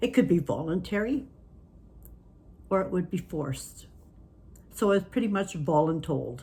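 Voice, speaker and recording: Pausing long and often, a woman speaks at a moderate pace with a fairly low pitch, a dark, mellow tone, vocal fry and lively intonation. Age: 60s. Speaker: stroke survivor. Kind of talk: casual talk to camera.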